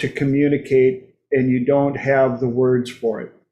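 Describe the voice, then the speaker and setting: A man's dark, mellow voice in an American accent, at a very slow pace. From United States. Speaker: talk show host. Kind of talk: casual chat. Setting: livestream.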